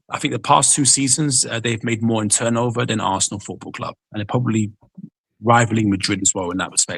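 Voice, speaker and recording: A man's somewhat breathy voice at a very fast pace, with fairly even intonation. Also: medium pitch for a man. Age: 30s. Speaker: football fan guest. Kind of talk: heated debate.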